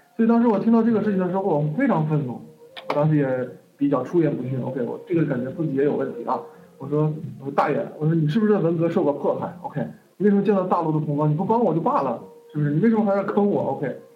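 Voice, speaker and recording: Over noticeable background noise and audible room echo, a man talks at a very fast pace with lively intonation. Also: fairly high pitch for a man. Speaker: online course teacher. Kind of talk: lecture. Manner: casual, lots of fillers.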